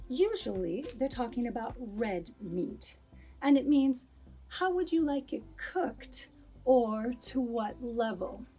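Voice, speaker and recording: Very slowly, a woman speaks in a high voice with lively intonation. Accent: American. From United States. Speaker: English teacher. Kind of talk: English lesson to camera.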